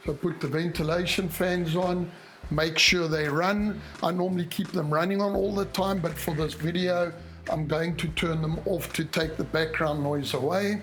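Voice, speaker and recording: A man speaks at a high pitch with very even loudness. Audible room echo and noticeable background noise surround his voice. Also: moderate pace. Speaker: home inspector. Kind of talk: tutorial. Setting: in a house bathroom. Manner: casual, with frequent hesitations.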